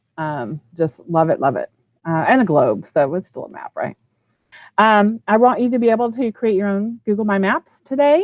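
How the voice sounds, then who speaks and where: In a Texan accent, a woman talks at a moderate pace with very wide pitch swings. The background is quiet and the sound is dry with no echo. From Texas, Houston. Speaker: educational technology trainer, former teacher. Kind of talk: online training presentation. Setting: video call from office. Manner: casual, with many fillers. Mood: enthusiastic, friendly. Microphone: video call.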